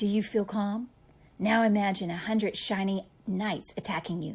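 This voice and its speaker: Using a put-on character voice, a woman speaks in a squeaky tone at medium pitch with fairly even intonation. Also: moderate pace. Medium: read story. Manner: stuttering, nervous.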